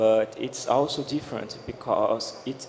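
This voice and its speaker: A man with a Portuguese accent at a fairly slow pace, ordinary pitch variation, and noticeable background noise behind him. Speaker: blockchain developer. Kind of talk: panel discussion. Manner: halting.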